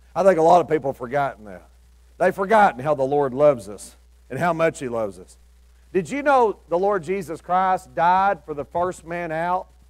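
Over a quiet background, a high-pitched man with a Southern US accent speaks at a moderate pace with lively intonation. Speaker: preacher. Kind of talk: sermon. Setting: church with congregation. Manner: informal storytelling, imagining biblical characters' thoughts, with folksy asides; earnest, exhorting, rising to an altar-call invitation. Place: church.

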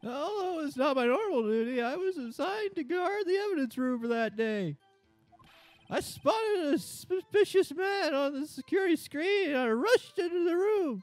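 Loud speech at a moderate pace over faint background music. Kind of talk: comic overacting. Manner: loud, eager, says sir constantly.

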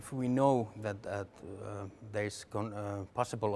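With light background noise behind him, a man talks at a moderate pace in a normal speaking voice, his pitch fairly low. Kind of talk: interview answer. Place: tunnel cave. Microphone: lapel.

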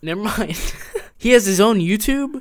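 A man with a high pitch speaks at a moderate pace with lively intonation.

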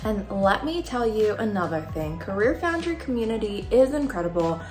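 A woman speaks at a moderate pace, with audible room echo and clear music playing in the background. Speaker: vlogger reading a sponsor message. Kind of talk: sponsor read. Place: home room.

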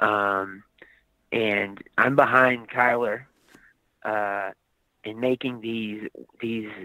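A man with an American accent and a fairly low pitch, at a very slow pace, in a monotone, flat intonation, with long, frequent pauses and big swings in loudness. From US South, Aiken, South Carolina. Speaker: actor and skateboard business owner. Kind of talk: casual interview chat. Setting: in a car, driving.

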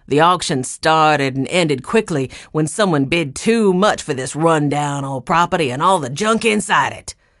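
A growling, put-on character voice at middle pitch and moderate pace. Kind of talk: curt, contemptuous. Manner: snarling.

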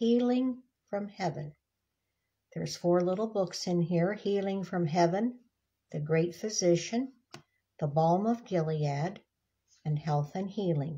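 A woman's fairly low voice, somewhat breathy, at a fairly slow pace with long, frequent pauses and ordinary pitch variation. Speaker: devotional book reader. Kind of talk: casual devotional talk. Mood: gentle, warm. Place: home room. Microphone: phone near.

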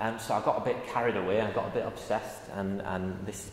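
Light background noise and audible room echo accompany speech at a fairly quick pace. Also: man. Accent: Yorkshire. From northern England. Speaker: university lecturer. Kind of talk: public lecture. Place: hall.

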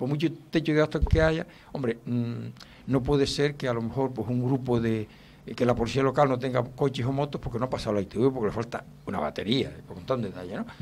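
A man speaks at a fairly quick pace with ordinary pitch variation. Light background noise sits behind him. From Canary Islands, Spain. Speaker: retired police chief, political candidate; candidate. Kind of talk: radio interview. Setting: radio studio. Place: studio. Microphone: studio mic.

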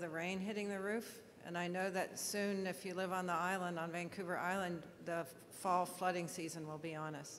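A woman talks in an ordinary speaking voice at a fairly quick pace. Her intonation stays fairly even. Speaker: government official. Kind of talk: formal speech. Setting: stage with audience.

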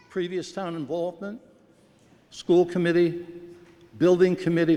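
A man speaks at a fairly slow pace in a high voice for a man, with noticeable noise in the background. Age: 70s. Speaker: town resident. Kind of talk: public comment at town meeting. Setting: town meeting hall.

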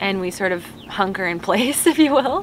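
At a moderate pace, a woman talks in a dry sound with no echo and light background noise behind her. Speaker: travel vlogger. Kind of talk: casual vlog chat. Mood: relaxed, cheerful. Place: boat.

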